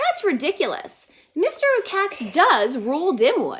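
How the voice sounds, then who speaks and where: In a put-on character voice, a woman talks at a moderate pace with an extremely high pitch and very wide pitch swings. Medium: read story. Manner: anxious, earnest.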